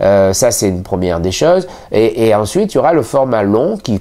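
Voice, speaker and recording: This man has a dark, mellow tone and a fairly low pitch, and he talks at a moderate pace. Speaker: magician and magic shop owner. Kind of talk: channel introduction to camera. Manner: hesitant, many fillers.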